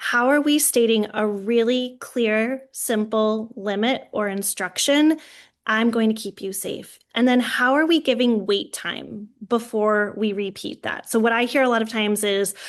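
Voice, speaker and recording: In an ordinary speaking voice, a woman talks at a fairly slow pace with hardly any pauses, a fairly high pitch and ordinary pitch variation, over a quiet background. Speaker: early childhood educator and trainer. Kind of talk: webinar presentation.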